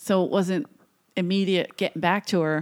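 With a Philadelphia accent, a woman speaks at medium pitch with fairly even intonation in a very clean recording with a silent background. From US Northeast, South Philadelphia. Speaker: comedian. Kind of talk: casual chat. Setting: studio.

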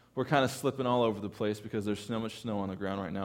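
In an American accent, the speaker uses ordinary pitch variation on a very clean recording with a silent background. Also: man. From California. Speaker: pastor. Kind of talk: sermon. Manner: halting.

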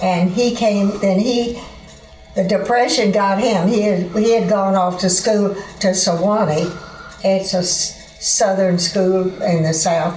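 A woman speaks in a Texan accent at a very slow pace, with a medium pitch, fairly even intonation and very even loudness. Music plays in the background, and the room echo is audible. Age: 80s+. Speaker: university alumna. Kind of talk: interview. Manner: halting.

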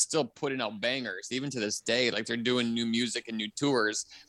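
A man speaks with an American accent in a normal speaking voice, medium in pitch and at a fairly quick pace. The very clean recording has a silent background and a dry, close sound with no echo. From Milwaukee, Wisconsin. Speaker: comedian. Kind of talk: casual chat.

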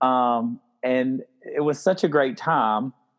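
A man with a South Carolina accent speaks at a fairly high pitch. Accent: South Carolina Southern. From Spartanburg, South Carolina. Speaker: podcast host. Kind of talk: casual chat.

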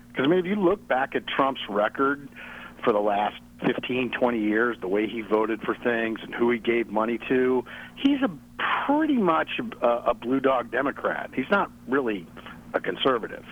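A man with a plain, everyday voice and lively intonation. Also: medium pitch for a man, moderate pace. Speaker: caller. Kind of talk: casual phone conversation. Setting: phone call.

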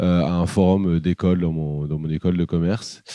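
Dry and close with no echo, the recording captures a man's very deep, low voice. His tone is dark and mellow. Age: 30s. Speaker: boat tour entrepreneur. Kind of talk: interview. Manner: hesitant, many fillers.

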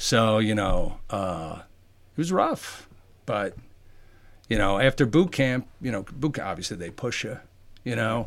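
A man with a plain, everyday voice talks at a fairly slow pace and a medium pitch with lively intonation. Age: 50s. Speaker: fitness trainer, military veteran. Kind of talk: casual interview.

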